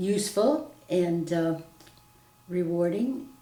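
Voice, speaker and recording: A woman speaks in an American accent. Audible room echo can be heard. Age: 80s+. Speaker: retired teacher. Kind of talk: interview testimony. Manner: halting.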